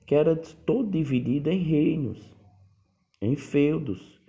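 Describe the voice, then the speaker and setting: A man with a northeastern Brazilian accent speaks in a dark, mellow tone with lively intonation. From Northeast Brazil, Paraíba. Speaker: history teacher. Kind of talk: lecture. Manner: casual, conversational.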